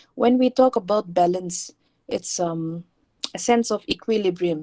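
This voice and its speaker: Recorded dry and close with no echo, a woman with a plain, everyday voice speaks at a moderate pace, fairly low in pitch and with ordinary pitch variation. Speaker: teacher. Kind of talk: online lecture.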